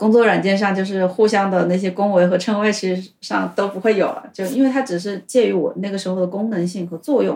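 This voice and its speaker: At a fairly quick pace, a woman with a normal speaking voice talks at medium pitch with fairly even intonation. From China, Hubei. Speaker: former tech worker, language student. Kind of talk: casual interview chat.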